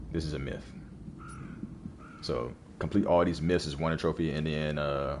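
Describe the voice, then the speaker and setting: Very deep and low, this man's voice carries vocal fry and fairly even intonation at a moderate pace. Long pauses come often, and the room echo is audible. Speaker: gaming streamer. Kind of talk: casual let's play commentary. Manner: halting, repetitive. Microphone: new mic setup.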